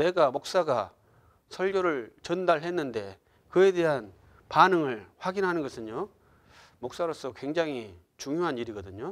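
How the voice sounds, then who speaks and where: On a very clean recording with a silent background, a man speaks at a fairly slow pace and a fairly high pitch. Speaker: pastor. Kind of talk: lecture. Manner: soft-spoken; halting, many fillers.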